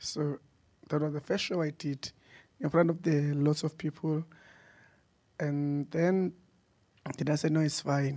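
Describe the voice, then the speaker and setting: Over a quiet background, a man speaks at a fairly slow pace with long, frequent pauses. His fairly high voice has a dark, mellow tone and monotone, flat intonation. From South Africa. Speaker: theatre company founder; panelist. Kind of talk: panel talk. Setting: stage with audience. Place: hall. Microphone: handheld.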